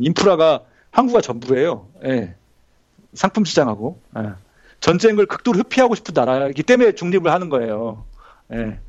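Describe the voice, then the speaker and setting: A man with a fairly high pitch speaks at a moderate pace against a quiet background. His pitch swings very widely, and he takes long, frequent pauses. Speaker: graduate student and former IT journalist. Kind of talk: casual interview chat.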